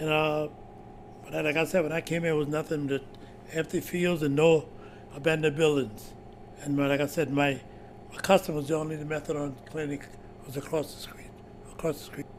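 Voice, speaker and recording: Talking at a fairly quick pace with long, frequent pauses, a man with an American accent uses a fairly high pitch and monotone, flat intonation. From US South. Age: 80s+. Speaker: baker and bakery owner. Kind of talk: interview. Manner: halting.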